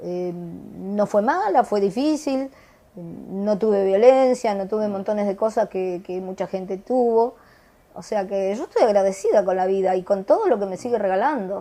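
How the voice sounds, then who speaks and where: Delivered at a moderate pace in a plain, everyday voice, the speech has ordinary pitch variation and big swings in loudness. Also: woman, medium pitch for a woman. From Argentina. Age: 60s. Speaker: retiree.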